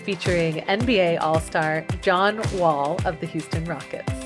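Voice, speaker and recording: Music plays in the background as a woman talks. Her pitch is fairly low and varies in an ordinary way. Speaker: podcast host. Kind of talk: podcast interview.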